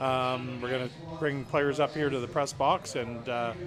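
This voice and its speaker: A man's medium-pitched voice with a Canadian accent and fairly even intonation, music in the background. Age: 60s. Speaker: baseball broadcaster. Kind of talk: live sports broadcast wrap-up. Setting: press box.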